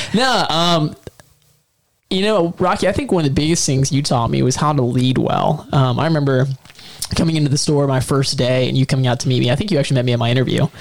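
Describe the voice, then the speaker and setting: Talking at a very fast pace, a man with a fairly high pitch keeps his loudness very even and his pitch variation ordinary. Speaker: podcast co-host. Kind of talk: casual chat. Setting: studio.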